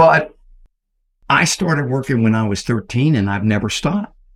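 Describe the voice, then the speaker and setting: A man speaks with a Texan accent. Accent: Texan American. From Texas, San Antonio. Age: 70s. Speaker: real estate entrepreneur. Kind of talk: interview storytelling.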